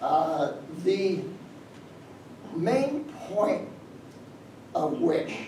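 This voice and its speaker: Audible room echo and noticeable background noise surround a man speaking with lively intonation. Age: 70s. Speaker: history professor. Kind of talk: Q&A after a lecture. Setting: lecture room with audience. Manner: halting, many fillers and repetitions.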